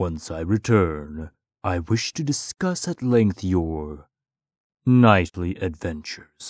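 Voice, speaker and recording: In a put-on character voice, a man rumbles at a very deep, low pitch and a fairly slow pace on a very clean recording with a silent background. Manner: grave, measured.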